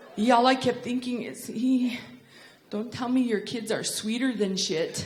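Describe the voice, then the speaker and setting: Fairly slow, fairly even speech from a woman with a high voice, against noticeable background noise. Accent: American. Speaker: stand-up comedian. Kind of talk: stand-up comedy performance to a live audience. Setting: theater with live audience. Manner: comedic, conversational.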